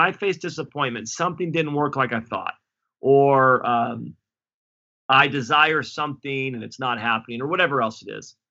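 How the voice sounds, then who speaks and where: A man talks in a normal speaking voice at a fairly high pitch and a moderate pace. His pitch varies in an ordinary way while his loudness swings widely. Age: 40s. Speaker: pastor. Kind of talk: interview.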